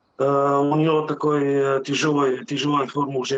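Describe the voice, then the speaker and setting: A man with a Bulgarian accent speaks at a very slow pace. His pitch is fairly high. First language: Bulgarian (speaking Russian). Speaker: truck driver, customer testimonial. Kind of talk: testimony. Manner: halting, many filler sounds.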